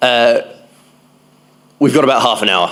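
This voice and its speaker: A man with a strong Australian accent speaks with ordinary pitch variation over noticeable background noise. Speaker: conference speaker, public health researcher. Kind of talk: conference talk. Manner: hesitant fillers.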